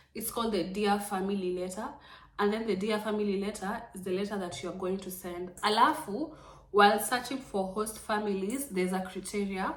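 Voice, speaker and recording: Amid audible room echo and noticeable background noise, a woman speaks at a fairly quick pace with ordinary pitch variation. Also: medium pitch for a woman. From Kenya. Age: 20s. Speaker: vlogger, former au pair. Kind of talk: informal tutorial vlog, code-switching English and Swahili. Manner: casual, repetitive, filler-heavy.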